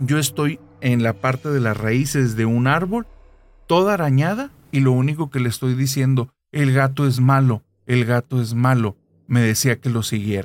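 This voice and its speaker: A normal speaking voice from a man, medium in pitch and moderate in pace, with ordinary pitch variation and very even loudness. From Monterrey, northern Mexico. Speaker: podcast narrator. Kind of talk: casual chat with storytelling.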